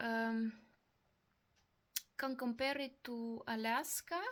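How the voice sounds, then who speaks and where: In a Russian accent, a woman with a fairly high pitch speaks at a very slow pace with monotone, flat intonation. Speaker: vlogger. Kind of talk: personal testimony. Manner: halting.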